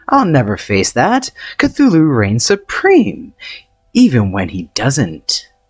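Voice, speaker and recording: A put-on character voice at a low-to-middle pitch speaks at a fairly slow pace over music in the background. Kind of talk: comic overacting. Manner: boastful, hammy.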